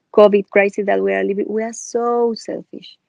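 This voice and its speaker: At a moderate pace, a woman speaks with fairly high pitch in a dry, close sound with no echo. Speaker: yoga teacher. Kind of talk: interview.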